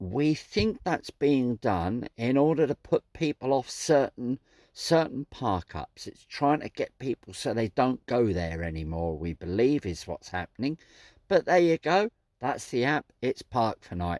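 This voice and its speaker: A man at medium pitch with very wide pitch swings, in a Suffolk accent, at a fairly slow pace, on a very clean recording with a silent background and a dry, close sound with no echo. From Suffolk, England. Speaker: vanlife vlogger. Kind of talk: casual talk to camera. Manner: chatty, friendly.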